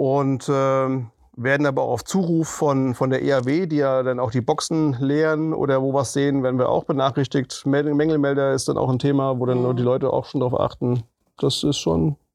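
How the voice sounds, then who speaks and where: Pitched at a medium level, the man's normal speaking voice has fairly even intonation. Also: moderate pace. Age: 40s. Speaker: municipal green spaces manager. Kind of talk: interview.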